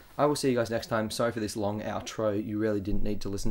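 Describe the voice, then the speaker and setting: A man with an Australian accent, with audible room echo. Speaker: video game commentator. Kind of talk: gameplay commentary. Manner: casual, rambling with fillers.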